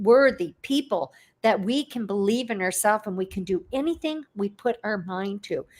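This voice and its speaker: A woman with an ordinary speaking voice, fairly high in pitch, with lively intonation and a fairly slow pace. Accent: Canadian. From Canada. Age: 60s. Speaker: online entrepreneur. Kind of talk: interview. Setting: livestream video call.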